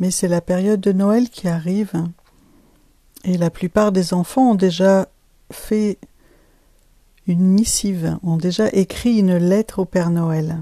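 A woman speaks at a very slow pace in a fairly low, dark, mellow voice, recorded dry and close with no echo. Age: 50s. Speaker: life coach and podcast host. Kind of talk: solo podcast monologue.

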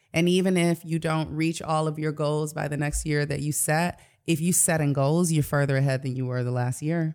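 A woman with an American accent speaks at a very deep, low pitch with fairly even intonation. She leaves hardly any pauses, on a very clean recording with a silent background. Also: moderate pace. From Detroit, US. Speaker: life coach. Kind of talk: casual interview.

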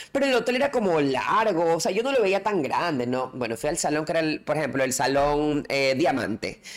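A woman's very deep, low voice at a fairly quick pace, with very wide pitch swings, very even loudness and hardly any pauses. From coastal Ecuador. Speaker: podcast co-host. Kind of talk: casual chat.

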